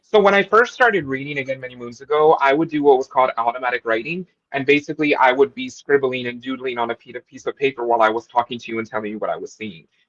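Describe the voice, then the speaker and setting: Speaking very fast with an American accent, a man shows ordinary pitch variation and big swings in loudness, and the sound is dry and close with no echo. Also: medium pitch for a man. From Texas. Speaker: psychic tarot reader. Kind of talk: interview.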